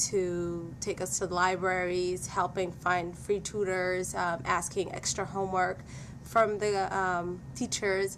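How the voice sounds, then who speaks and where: A woman's medium-pitched voice in a Somali accent, at a fairly slow pace, with monotone, flat intonation. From Somalia. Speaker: former student giving testimonial. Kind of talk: testimony.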